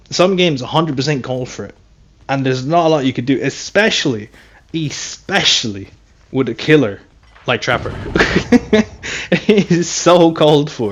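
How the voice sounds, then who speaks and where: A man is speaking. His pace is fairly quick. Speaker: gaming streamer. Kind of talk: gameplay commentary. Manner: loud; casual, animated.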